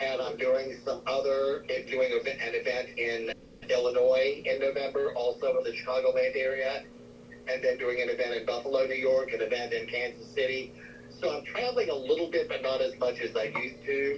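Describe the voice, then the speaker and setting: Speaking fairly quickly in an American accent, a man is heard against noticeable background noise. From US South, Spartanburg, South Carolina. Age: 70s. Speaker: psychic medium. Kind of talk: interview.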